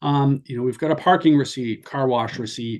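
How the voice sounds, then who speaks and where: This is a man with a plain, everyday voice at medium pitch. He talks at a moderate pace against a quiet background. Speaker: sales manager presenting software webinar. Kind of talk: software demo webinar. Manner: casual, filler-heavy.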